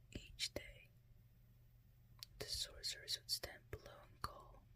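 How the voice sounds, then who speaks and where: Whispering, a woman speaks at a very slow pace. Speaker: ASMR storyteller. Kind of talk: fairytale bedtime story reading. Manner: whispered.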